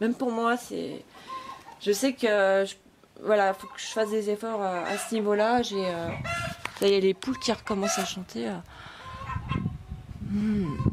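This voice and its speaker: The speech comes at a fairly slow pace with long, frequent pauses, big swings in loudness, and ordinary pitch variation, over noticeable background noise. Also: woman, medium pitch for a woman. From France. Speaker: vlogger. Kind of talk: casual vlog monologue. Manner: hesitant, many fillers.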